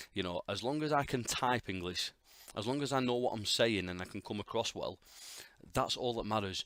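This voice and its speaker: Bright, sharp tone from a man, with ordinary pitch variation and a dry, close sound with no echo. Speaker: podcast host, game developer. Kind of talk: solo podcast monologue. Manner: casual, halting with fillers.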